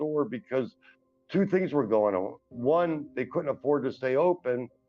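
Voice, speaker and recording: A man with an American accent, fairly high-pitched and lively in intonation, moderate in pace, music in the background. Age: 60s. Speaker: formerly homeless man sharing his story. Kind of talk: testimony interview. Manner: hesitant, with many fillers.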